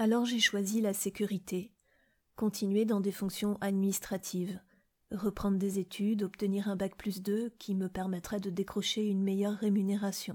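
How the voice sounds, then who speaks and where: Against a silent background in a very clean recording, a woman speaks at a moderate pace in a somewhat breathy, medium-pitched voice with monotone, flat intonation. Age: 40s. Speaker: podcast host sharing personal experience. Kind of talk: personal testimony.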